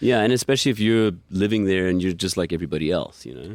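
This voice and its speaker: With an American accent, a man talks at a fairly quick pace using lively intonation. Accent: American-rooted. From New York City, Queens. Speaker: musician. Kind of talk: casual interview chat.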